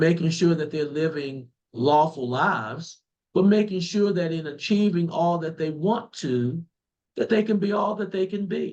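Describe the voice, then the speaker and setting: In a Southern US accent, a man with a high-pitched voice speaks at a moderate pace with ordinary pitch variation. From rural southeastern North Carolina. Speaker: political candidate. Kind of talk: interview. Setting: remote call.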